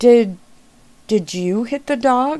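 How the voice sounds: A female-sounding voice puts on a character voice pitched high for a woman.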